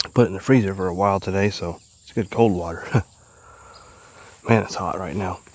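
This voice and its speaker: A man with an American accent talks in a fairly low pitch with fairly even intonation over noticeable background noise. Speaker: camping vlogger. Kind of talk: casual vlog narration outdoors. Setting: outdoors at a creek campsite. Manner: casual, occasional stumbles.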